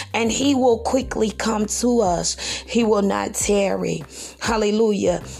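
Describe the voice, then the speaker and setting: Music plays behind the speaker. She is a woman talking fairly slowly. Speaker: pastor. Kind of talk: fervent prayer, preaching. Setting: podcast recording. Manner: fervent, exclamatory, praise-filled; rhythmic, call-and-response preaching cadence.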